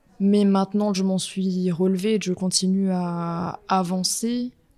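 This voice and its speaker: A woman's monotone, flat intonation amid noticeable background noise. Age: 20s. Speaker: portrait photographer. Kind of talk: personal testimony interview.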